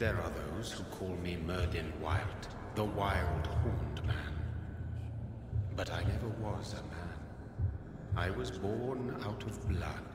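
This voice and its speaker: A man puts on a character voice, speaking fairly slowly in a very deep, low register over loud background noise with a clear echo. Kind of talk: mythic prophecy. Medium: game stream. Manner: solemn, cryptic, measured.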